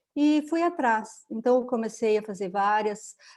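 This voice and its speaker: A woman's plain, everyday voice, fairly high in pitch with ordinary pitch variation, at a fairly slow pace against a quiet background. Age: 60s. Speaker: holistic therapist, retired educator. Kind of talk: interview, personal story.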